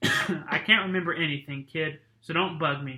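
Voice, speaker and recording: A man puts on a gruff character voice with a fairly high pitch. He talks at a moderate pace. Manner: gruff, grumpy, dismissive.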